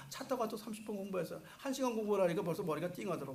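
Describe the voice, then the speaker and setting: Talking very fast in a high pitch with very wide pitch swings, a man is heard over noticeable background noise and audible room echo. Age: 60s. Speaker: pastor. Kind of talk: sermon.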